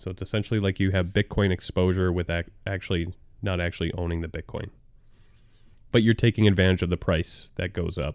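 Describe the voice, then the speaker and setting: This man's voice sits very deep and low, moving at a fairly quick pace with monotone, flat intonation. The recording is very clean, with a silent background. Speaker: podcast co-host, movie reviewer. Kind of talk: casual chat. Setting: studio.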